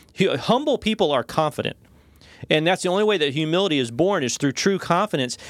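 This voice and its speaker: A man with a high voice talks very fast with lively intonation and very even loudness, in a dry, close sound with no echo on a very clean recording with a silent background. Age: 40s. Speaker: pastor. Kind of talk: devotional discussion.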